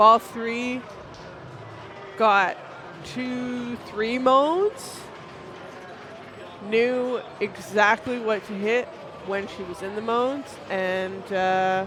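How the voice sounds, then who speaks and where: The speaker has a Canadian accent and a very slow pace, with long, frequent pauses. Noticeable background noise runs underneath. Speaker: pinball stream commentator. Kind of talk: live commentary. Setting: stream from a pinball venue.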